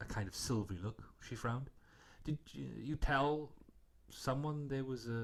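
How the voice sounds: In a natural reading voice, the speaker's pitch varies in an ordinary way.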